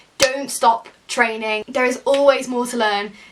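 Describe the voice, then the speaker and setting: At a moderate pace, a woman with a fairly high voice speaks with ordinary pitch variation over noticeable background noise. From Yorkshire, England. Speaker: actor and YouTuber. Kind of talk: tutorial talking to camera. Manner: casual, chatty.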